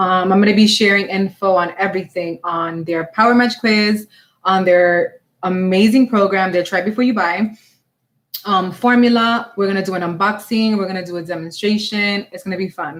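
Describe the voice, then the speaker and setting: A woman with a medium pitch talks at a moderate pace, her intonation fairly even. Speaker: makeup artist. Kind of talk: live product demo and Q&A stream. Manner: loud; casual, chatty.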